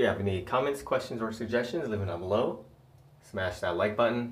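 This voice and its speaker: Speaking at a very fast pace, a man has a fairly low, somewhat breathy voice. His pitch varies in an ordinary way. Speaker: fitness vlogger. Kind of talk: casual vlog chat. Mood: upbeat early morning. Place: bathroom. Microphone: phone near.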